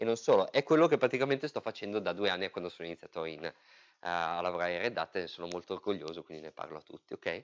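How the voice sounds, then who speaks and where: Very fast and with very wide swings in pitch, a man talks over a quiet background. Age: 30s. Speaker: software engineer and user group organizer; presenter. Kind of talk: technical talk. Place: meeting room.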